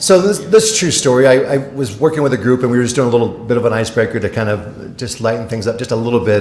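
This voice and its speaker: A man at medium pitch with ordinary pitch variation, speaking at a very fast pace amid audible room echo. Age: 60s. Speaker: motivational speaker. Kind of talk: keynote speech. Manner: animated.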